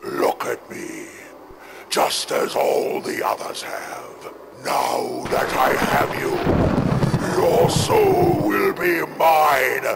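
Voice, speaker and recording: A man's put-on character voice, growling at a very slow pace over clear background noise. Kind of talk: spooky haunted-house villain. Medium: toy film. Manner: menacing, gloating, commanding.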